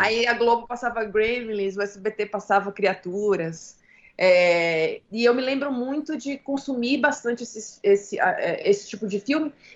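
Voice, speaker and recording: A woman speaks at a fairly slow pace in a fairly high pitch with ordinary pitch variation, in a plain, everyday voice. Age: 30s. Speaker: film director and screenwriter. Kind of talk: interview.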